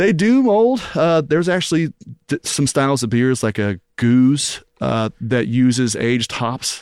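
A man in a normal speaking voice talks at a fairly slow pace with a medium pitch and lively intonation, in a dry, close sound with no echo. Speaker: restaurant owner. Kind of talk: casual chat. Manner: laid-back, casual.

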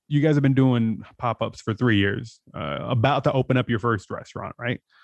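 This man speaks with an American accent at medium pitch. His pace is fairly quick. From San Diego, California. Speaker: podcast host. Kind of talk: casual interview.

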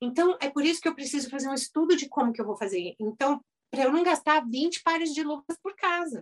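The speech moves at a fairly quick pace with lively intonation, and the sound is dry and close with no echo. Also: woman, high pitch for a woman. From Brazil, São Paulo. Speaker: dentist turned house cleaner and youtuber. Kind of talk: casual interview.

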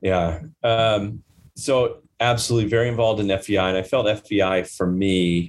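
With an American accent and an ordinary speaking voice, a man talks at a fairly slow pace in a fairly low pitch, his loudness very even and his intonation fairly even. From US Midwest (Nebraska). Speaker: corporate finance executive. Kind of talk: interview. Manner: frequent fillers and restarts.

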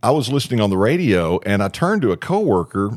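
Recorded very cleanly against a silent background, a man talks at a moderate pace with very wide pitch swings. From Arkansas. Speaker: radio DJ. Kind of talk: casual interview chat. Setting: studio.

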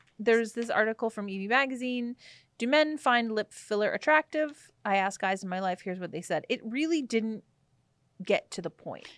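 In a dry, close recording with no echo, a woman with an ordinary speaking voice talks at a moderate pace with a fairly high pitch and lively intonation. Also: very clean recording, silent background. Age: 30s. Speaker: podcast co-host. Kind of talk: casual chat.

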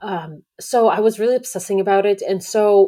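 A woman speaks in a Russian accent at medium pitch. Her tone is dark and mellow. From Belarus. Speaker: podcast host. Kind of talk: solo monologue. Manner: halting, many fillers.

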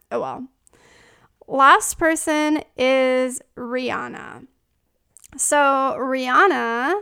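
A woman's raised, projected voice, high-pitched and bright and sharp, with ordinary pitch variation, in a very clean recording with a silent background. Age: 30s. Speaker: astrology podcast host. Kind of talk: casual chat. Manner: animated.

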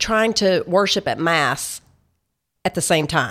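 In a Tennessee accent, the speaker talks at a moderate pace with ordinary pitch variation on a very clean recording with a silent background. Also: woman. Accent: Southern US (Tennessee). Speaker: Bible study author and speaker. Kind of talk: interview. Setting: studio.

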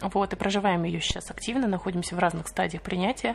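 A woman speaks at a fairly quick pace against noticeable background noise. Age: 20s. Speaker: podcast co-host, mother on maternity leave. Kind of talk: casual chat.

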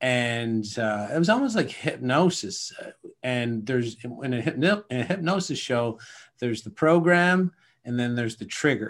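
A man with a Canadian accent and an ordinary speaking voice, medium in pitch, at a moderate pace with lively intonation. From Atlantic Canada (Nova Scotia, Newfoundland). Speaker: self-sabotage coach. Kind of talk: interview.

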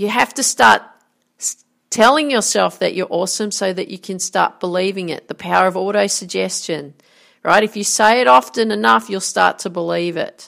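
A woman's medium-pitched voice with vocal fry, an energetic tone, very wide pitch swings and a moderate pace. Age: 40s. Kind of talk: motivational monologue.

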